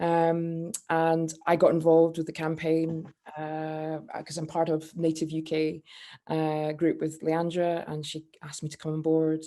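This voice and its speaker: Against a quiet background, a woman with a Scottish accent speaks at a moderate pace in a very deep, low, dark and mellow voice with big swings in loudness. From Scotland. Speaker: campaigner. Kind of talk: panel discussion. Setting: video call. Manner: halting, many fillers.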